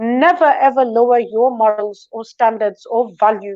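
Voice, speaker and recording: Loud, with a dark, mellow tone, a woman speaks at a fairly high pitch and moderate pace with ordinary pitch variation against a quiet background. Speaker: talk show guest. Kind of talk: interview, advice-giving monologue. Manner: confident.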